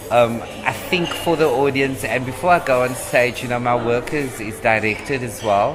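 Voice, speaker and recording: A man speaks at a medium pitch and moderate pace with hardly any pauses. Music plays in the background. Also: ordinary pitch variation. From Cape Town, South Africa. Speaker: stand-up comedian. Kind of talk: podcast interview answer.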